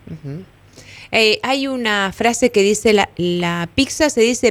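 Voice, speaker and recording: A woman's fairly high voice with lively intonation, an ordinary speaking voice. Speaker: radio co-host. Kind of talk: radio interview.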